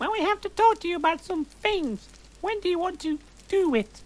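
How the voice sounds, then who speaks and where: A man in a squeaky, put-on character voice of extremely high pitch, at a moderate pace, with light background noise. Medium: read story. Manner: casual, crude.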